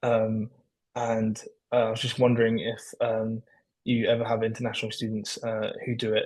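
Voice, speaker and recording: A man with a London accent talks at a medium pitch in a monotone, flat intonation. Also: moderate pace. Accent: British (London). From London, England. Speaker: prospective applicant. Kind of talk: online info session Q&A. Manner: hesitant, many fillers.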